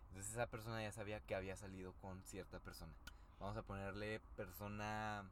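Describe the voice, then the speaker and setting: Monotone and flat in intonation, a man speaks in a Mexican accent. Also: fairly low pitch for a man, fairly quick pace. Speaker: podcast co-host. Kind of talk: casual chat.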